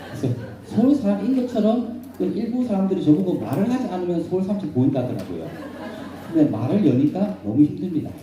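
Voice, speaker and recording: Speaking very fast in a Busan accent, a man with a high pitch and very wide pitch swings sounds animated, with audible room echo and noticeable background noise. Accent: Gyeongsang (Busan) dialect. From South Korea, Busan. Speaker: professor and redevelopment consultant. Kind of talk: lecture. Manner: animated, rhetorical questions.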